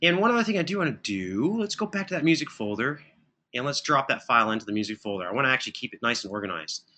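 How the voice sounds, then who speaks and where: A man's fairly high-pitched, bright, sharp voice at a very fast pace, with very wide pitch swings. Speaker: audio production instructor. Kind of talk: tutorial. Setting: live stream.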